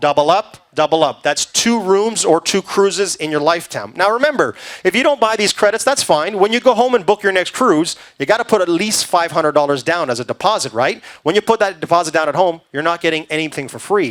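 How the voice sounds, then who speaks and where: In a high pitch and lively intonation, a man talks at a fairly quick pace. The sound is dry and close with no echo. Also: hardly any pauses. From Canada. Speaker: cruise sales presenter. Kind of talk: sales pitch. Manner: fast.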